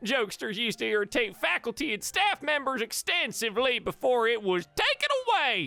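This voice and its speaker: Delivered at a moderate pace, this put-on character voice swings very widely in pitch. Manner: regaling, storytelling.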